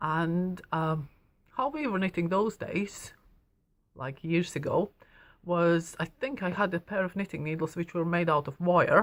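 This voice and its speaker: In a very clean recording with a silent background, a woman with a Latvian accent speaks at a fairly slow pace. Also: fairly low pitch for a woman, ordinary pitch variation. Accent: Latvian accent, noticeable. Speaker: knitting shop owner and teacher. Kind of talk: personal story to camera. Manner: hesitant, many fillers.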